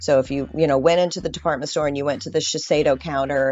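A woman's very deep, low voice in a Californian accent, ordinary in pitch variation, with music in the background. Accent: Californian American. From Southern California. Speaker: esthetician. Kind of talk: interview.

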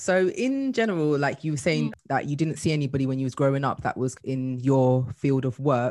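With a British accent, a woman speaks in a very deep, low voice of dark, mellow tone. Her pitch varies in an ordinary way, and she hardly pauses. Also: moderate pace. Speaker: podcast host and career coach. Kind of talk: casual interview chat.

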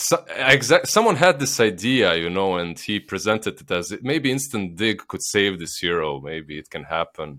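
A man in a Slavic accent, fairly low in pitch and bright, sharp in tone, with very wide pitch swings, big swings in loudness and a moderate pace, on a very clean recording with a silent background. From Bosnia. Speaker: esports caster. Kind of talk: casual chat.

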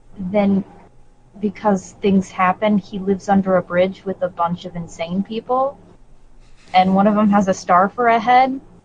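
Breathy to some degree, a woman speaks at a fairly slow pace. Her medium pitch keeps fairly even intonation. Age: 20s. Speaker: video game podcast co-host. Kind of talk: casual chat.

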